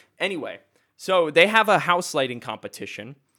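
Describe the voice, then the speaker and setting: Loud and animated, a man speaks at a moderate pace with a bright, sharp tone. The recording is very clean, with a silent background. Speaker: podcast host. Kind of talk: casual banter, movie review chat. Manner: loud, animated.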